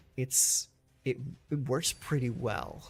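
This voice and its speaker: Over music in the background, a man speaks at a very slow pace and medium pitch. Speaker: gaming streamer. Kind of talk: live gameplay commentary. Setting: live stream. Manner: halting, stammering.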